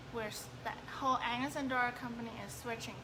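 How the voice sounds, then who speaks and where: A woman speaks with fairly even intonation against noticeable background noise. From Hong Kong. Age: 20s. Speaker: direct sales clothing rep. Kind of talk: live-stream business presentation. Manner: casual, hesitant.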